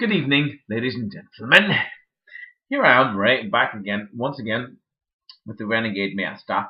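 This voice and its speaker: A man with a British accent speaks with lively intonation and big swings in loudness. He leaves long, frequent pauses. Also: medium pitch for a man, moderate pace. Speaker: toy reviewer. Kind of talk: casual video review. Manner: animated.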